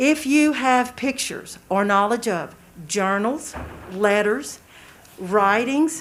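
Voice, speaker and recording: Her intonation lively and her pitch fairly high, a woman speaks at a very slow pace. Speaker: nonprofit volunteer presenter. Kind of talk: public presentation to county board. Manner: loud.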